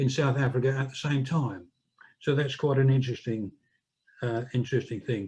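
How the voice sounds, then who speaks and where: A man talks at a fairly quick pace in a medium-pitched, somewhat breathy voice, keeping his intonation fairly even. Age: 70s. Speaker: political activist and author. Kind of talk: public talk. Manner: halting.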